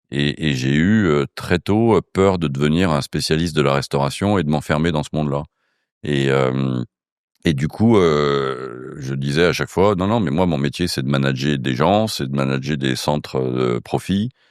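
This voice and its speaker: A man with a very deep, low pitch delivers his words fairly slowly. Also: ordinary pitch variation. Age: 60s. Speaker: casino group executive. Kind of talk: interview. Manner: hesitant, many fillers.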